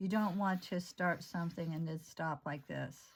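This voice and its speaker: This woman's voice sits fairly low and is somewhat breathy, with ordinary pitch variation. She speaks at a moderate pace in a very clean recording with a silent background. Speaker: art therapy instructor. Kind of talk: tutorial. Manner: casual, halting.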